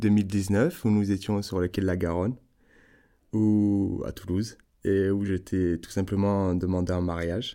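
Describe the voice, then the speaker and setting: A man's fairly low, dark and mellow voice comes through a very clean recording with a silent background. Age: 30s. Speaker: restaurant worker. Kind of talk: personal storytelling interview. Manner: hesitant, many filler sounds.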